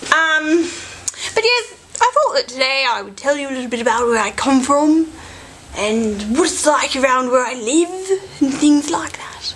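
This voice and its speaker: With noticeable noise behind her, a woman speaks at a moderate pace in a high pitch that swings very widely. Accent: Australian. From Australia, Sydney. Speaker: vlogger. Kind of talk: casual vlog chat. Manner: halting, self-correcting.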